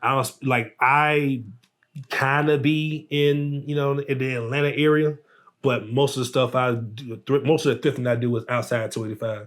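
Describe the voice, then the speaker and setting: This man speaks with a Southern US accent at a moderate pace. His pitch is medium and his intonation fairly even. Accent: country Southern. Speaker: artist and entrepreneur. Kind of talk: casual chat.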